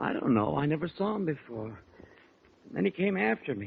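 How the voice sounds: A man puts on a character voice, husky and rough-edged with vocal fry. His pitch sits fairly high and swings widely. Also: fairly quick pace.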